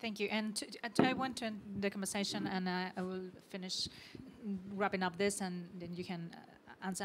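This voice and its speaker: Noticeable background noise runs behind a woman's voice. She speaks at a fairly quick pace and medium pitch with a monotone, flat intonation. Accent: Mexican. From Mexico. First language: Spanish. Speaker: panel moderator. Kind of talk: panel discussion. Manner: halting, many repetitions.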